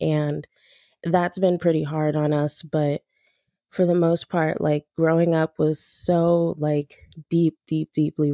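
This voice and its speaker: A woman's very deep, low voice with a Californian accent, dark and mellow in tone, flat and monotone, fairly slow, dry and close with no echo, on a very clean recording with a silent background. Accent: Californian American English. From Los Angeles, South Central and San Fernando Valley. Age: 20s. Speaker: aspiring music manager. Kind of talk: casual interview chat.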